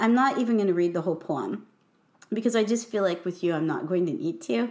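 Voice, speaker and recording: A woman with an American accent speaks at a medium pitch. Her pitch swings very widely. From US Midwest. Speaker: podcast host and poet. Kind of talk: casual chat.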